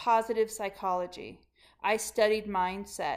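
The pitch here is fairly high. It belongs to a woman. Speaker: leadership coach. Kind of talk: motivational monologue. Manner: animated.

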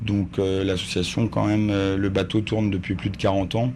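Amid noticeable background noise and audible room echo, a man talks at a fairly slow pace and fairly low pitch, his intonation fairly even. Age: 30s. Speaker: volunteer ship captain. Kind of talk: sailing instruction and interview. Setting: aboard a sailing ship.

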